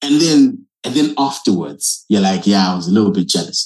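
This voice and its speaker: Vocal fry marks a man's voice as he talks at a moderate pace with very wide pitch swings. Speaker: podcast host. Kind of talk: casual chat.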